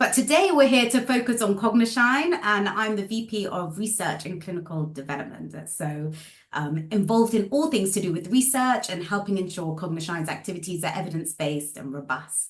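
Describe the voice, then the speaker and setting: At a fairly quick pace with hardly any pauses, a woman of medium pitch speaks with lively intonation amid audible room echo. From UK. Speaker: speech therapist and researcher. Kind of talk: podcast interview. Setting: call.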